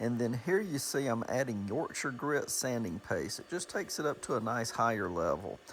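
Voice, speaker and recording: A man with a Southern US accent speaks at a medium pitch and a moderate pace. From US South, Georgia. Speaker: woodturner. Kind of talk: tutorial. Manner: casual.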